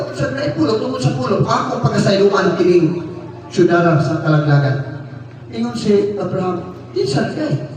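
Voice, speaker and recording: Against noticeable background noise, a man with a high pitch talks fairly slowly. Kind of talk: sermon. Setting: church. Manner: earnest, preacherly, rhythmic delivery with audience-directed questions.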